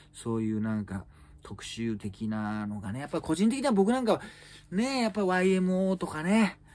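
This man's voice is high-pitched. It swings very widely up and down. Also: moderate pace. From Japan. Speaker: comedian; comedian news commentator. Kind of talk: solo news commentary chat. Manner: casual, filler-heavy. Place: home room. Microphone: phone near.

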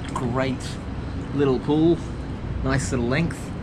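A man speaks at a moderate pace. Loud noise fills the background. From Australia, New South Wales. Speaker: triathlon vlogger. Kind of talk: casual vlog to camera. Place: waterside. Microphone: phone near.

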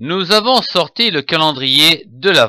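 Calm yet bright and sharp in tone, a man speaks at a fairly high pitch and a very slow pace, his pitch swinging very widely. The recording is very clean, with a silent background. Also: dry, close sound with no echo. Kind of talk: bedtime story narration, scripted Christmas tale told in the first person plural. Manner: calm, storytelling pace, gently expressive.

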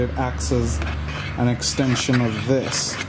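A man with fairly even intonation over clear background noise

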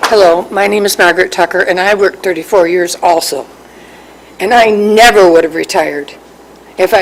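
The speech runs at a very fast pace with fairly even intonation against noticeable background noise. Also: woman. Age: 60s. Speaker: county retiree speaking at public comment. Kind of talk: public comment at government meeting. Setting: county board meeting.

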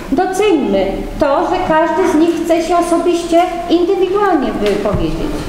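Against strong room echo and light background noise, a woman speaks at a moderate pace with an extremely high pitch and lively intonation. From Poland. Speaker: council chairwoman. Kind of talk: formal council session. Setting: council hall without microphone. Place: hall. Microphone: camera far.

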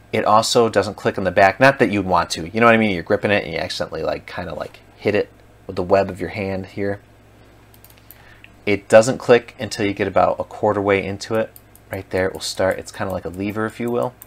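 A man at a very fast pace with fairly low pitch and fairly even intonation. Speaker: product reviewer. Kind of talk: casual product review. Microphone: camera far.

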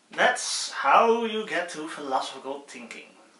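Amid audible room echo, a man speaks at a very slow pace, his pitch swinging very widely. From Netherlands. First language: Dutch. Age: 20s. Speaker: student YouTuber. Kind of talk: casual tutorial. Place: home room. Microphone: phone near.

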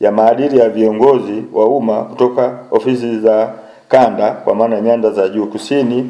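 Against a quiet background, a man talks at a moderate pace in a monotone, flat intonation with hardly any pauses. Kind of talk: press statement read aloud. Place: office. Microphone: handheld.

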